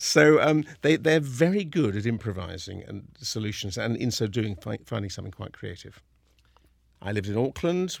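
In a southern English accent, a man talks at a moderate pace and medium pitch with lively intonation, on a very clean recording with a silent background. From southern England (Kingston upon Thames). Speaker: opera company general director. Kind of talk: interview monologue. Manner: hesitant, with fillers and repetitions.

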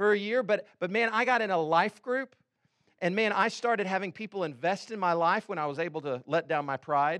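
A man with an American accent at a fairly quick pace, ordinary pitch variation, dry and close sound with no echo. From Texas, Houston. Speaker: pastor. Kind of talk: sermon. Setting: church.

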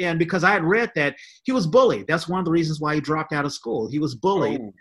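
Very wide pitch swings and a very fast pace stand out in this very clean recording with a silent background. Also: man. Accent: American. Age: 50s. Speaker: podcast host. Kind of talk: casual chat.

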